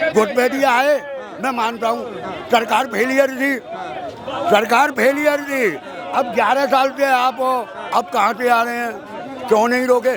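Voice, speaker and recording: Over crowd noise in the background and audible room echo, a man speaks in an animated tone at an extremely high pitch. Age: 60s. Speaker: member of the public interviewed. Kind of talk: street interview.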